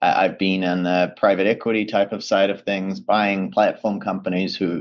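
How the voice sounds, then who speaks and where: A man's fairly low, monotone voice with a New Zealand accent at a moderate pace. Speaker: project finance professional. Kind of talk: webinar presentation.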